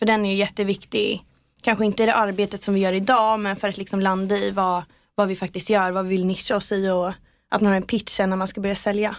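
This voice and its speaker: A woman talks at a very fast pace. Her intonation is monotone and flat. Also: medium pitch for a woman. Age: 20s. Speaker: PR agency co-founder. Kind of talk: interview. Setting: podcast studio.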